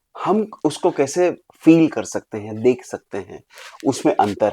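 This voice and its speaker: A man with a fairly high pitch and a dark, mellow tone swings very widely in pitch and shows big swings in loudness. The recording is very clean and silent in the background, with a dry, close sound and no echo. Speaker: leadership coach and author. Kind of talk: podcast interview. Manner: Hindi mixed with English.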